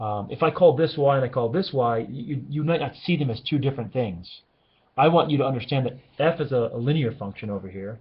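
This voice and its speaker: A man talks at a fairly quick pace. His voice is somewhat breathy, with ordinary pitch variation. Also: medium pitch for a man. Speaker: high school algebra teacher. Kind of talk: recorded lecture. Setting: classroom. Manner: fast.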